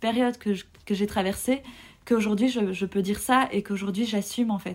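Woman's fairly high, somewhat breathy voice at a moderate pace with fairly even intonation. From Belgium. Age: 30s. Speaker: podcast guest sharing personal story. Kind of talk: personal testimony. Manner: hesitant, many fillers.

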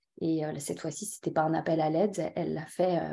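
A woman speaks at a fairly low pitch with a dark, mellow tone. The recording is very clean, with a silent background. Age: 40s. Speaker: entrepreneur, event agency owner. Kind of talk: personal testimony interview. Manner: hesitant, repeats words.

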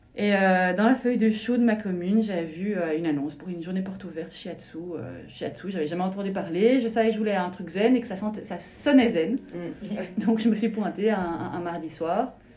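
A woman at a moderate pace with hardly any pauses, medium pitch and ordinary variation, over noticeable background noise. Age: 40s. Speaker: shiatsu practitioner. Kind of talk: interview testimony. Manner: hesitant, many fillers.

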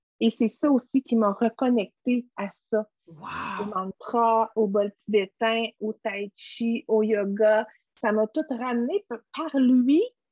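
In a Quebec accent, a woman talks at a very slow pace and a fairly high pitch. The sound is dry and close, with no echo. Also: fairly even intonation. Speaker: essential oil entrepreneur. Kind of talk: interview conversation. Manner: halting.

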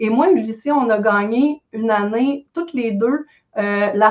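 A woman talks in a normal speaking voice at a fairly high pitch with ordinary pitch variation. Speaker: real estate investor. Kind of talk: casual chat.

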